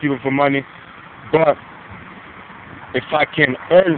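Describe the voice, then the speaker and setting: Noticeable background noise sits behind a man talking at a fairly slow pace. His pitch is fairly high, and his intonation is monotone and flat. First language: Brazilian Portuguese. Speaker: vlogger. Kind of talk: casual vlog monologue.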